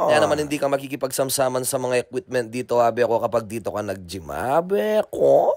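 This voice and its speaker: Very fast speech from a man at medium pitch, set against noticeable background noise. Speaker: vlogger. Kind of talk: vlog narration. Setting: gym.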